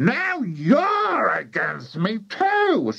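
Shouting in a put-on character voice, a man pushes his pitch extremely high. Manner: shouted, angry.

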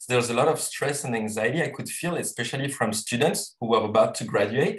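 The man speaks at a fairly quick pace with ordinary pitch variation and a somewhat breathy sound. The background is quiet. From Tahiti, French Polynesia. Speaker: social entrepreneur. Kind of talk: panel discussion. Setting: video call. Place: home room. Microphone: video call.

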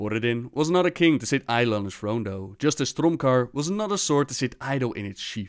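On a very clean recording with a silent background, a man with a normal speaking voice talks at a fairly quick pace and medium pitch, with lively intonation and hardly any pauses. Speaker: gaming lore youtuber. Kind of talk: scripted lore narration. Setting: video voiceover. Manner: measured, storyteller-like narration; friendly, upbeat sign-off.

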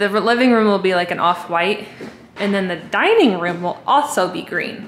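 Against light background noise and audible room echo, a woman speaks with ordinary pitch variation. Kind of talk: casual vlog chat. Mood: upbeat, motivated. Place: home room. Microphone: phone near.

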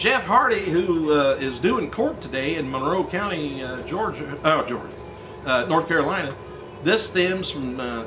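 A man talks at a moderate pace. Background noise is noticeable. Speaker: wrestling news reporter. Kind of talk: news report commentary. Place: office.

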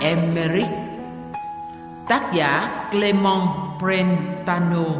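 Clear background music under a woman's voice. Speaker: audiobook narrator. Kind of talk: religious audiobook reading. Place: studio.

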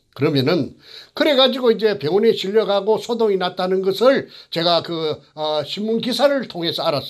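Over a quiet background, a man speaks with lively intonation. His pitch is high and his pace moderate. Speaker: former elementary school teacher, whistleblower. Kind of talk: interview testimony. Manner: rambling, halting with many fillers. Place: studio. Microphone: lapel.

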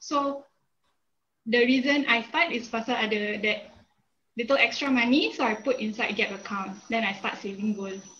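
A woman speaks fairly slowly in a fairly high pitch. Her tone is bright and sharp, with ordinary pitch variation. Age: 20s. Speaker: business graduate. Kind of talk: testimony. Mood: friendly, calm. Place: home room. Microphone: video call.

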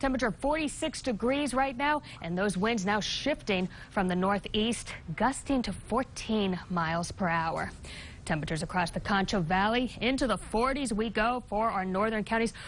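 With an upbeat tone and lively intonation, a woman at a fairly high pitch speaks at a moderate pace and very even loudness over light background noise. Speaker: TV meteorologist. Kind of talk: local TV weather forecast, reading temperatures and wind across counties. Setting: TV studio. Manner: brisk, upbeat delivery listing town-by-town readings; chatty and playful, laughs lightly with desk. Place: studio.

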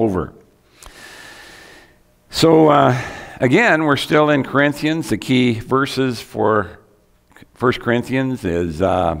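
This is a man speaking. The background is quiet. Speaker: preacher. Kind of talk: sermon. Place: church.

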